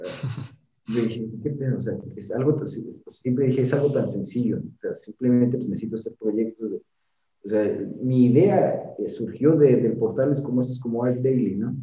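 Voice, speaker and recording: Somewhat breathy and dark, mellow in tone, a man's medium-pitched voice moves at a moderate pace with fairly even intonation. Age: 30s. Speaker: structural engineer and firm founder. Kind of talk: interview.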